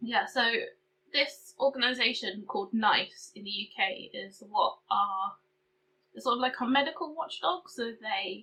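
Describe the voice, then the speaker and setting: With a British accent, a woman speaks at a fairly slow pace in a bright, sharp tone. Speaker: beauty and chronic illness vlogger. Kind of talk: casual vlog update. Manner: hesitant, filler-heavy.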